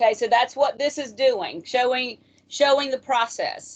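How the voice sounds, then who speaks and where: A woman's loud, high voice moves at a moderate pace, its pitch rising and falling in an ordinary way. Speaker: math instructor. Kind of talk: lecture.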